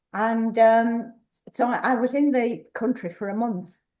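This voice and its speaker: A dark, mellow tone in a woman's fairly high-pitched voice. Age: 80s+. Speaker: workshop participant. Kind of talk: personal storytelling to a group. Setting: community workshop with small audience. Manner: halting.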